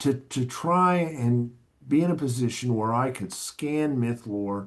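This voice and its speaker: The background is quiet. A man with an American accent speaks at a very slow pace. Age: 60s. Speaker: academic librarian and archivist. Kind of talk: podcast interview.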